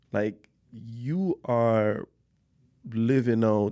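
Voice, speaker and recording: A man speaks with a non-native accent in a fairly low pitch and a dark, mellow tone. The recording is very clean, with a silent background. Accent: foreign-accented English. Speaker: podcast host. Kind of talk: casual interview.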